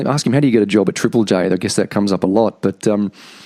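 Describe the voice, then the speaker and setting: Speech comes at a very fast pace with an Australian accent. The pitch varies in an ordinary way. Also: man. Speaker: podcast host. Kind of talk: podcast interview; scripted introduction.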